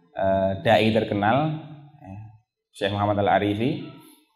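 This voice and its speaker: Music runs in the background. Over it, a man speaks very slowly. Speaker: Islamic preacher giving a lecture. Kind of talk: Islamic religious lecture (pengajian) reviewing a book.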